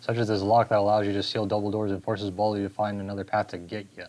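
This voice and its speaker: The man's words come very fast, pitched fairly low. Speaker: gaming YouTuber. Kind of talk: video game review narration.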